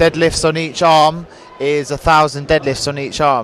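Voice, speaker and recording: Amid noticeable background noise, a man speaks in a monotone, flat delivery at a fairly high pitch. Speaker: interviewer, channel host. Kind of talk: interview questions at an exhibition.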